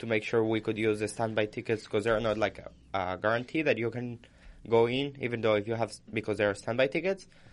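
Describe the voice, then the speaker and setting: Over a quiet background, a man talks in a plain, everyday voice, medium in pitch with fairly even intonation. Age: 20s. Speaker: college student podcast co-host. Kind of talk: casual chat. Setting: studio.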